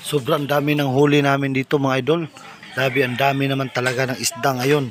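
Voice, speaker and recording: Over noticeable background noise, a man speaks at medium pitch and a fairly quick pace with monotone, flat intonation. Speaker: vlogger. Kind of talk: casual vlog narration. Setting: outdoors.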